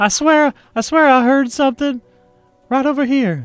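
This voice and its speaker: A man's put-on character voice at an extremely high pitch and moderate pace, over faint music in the background. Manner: nervous, insistent.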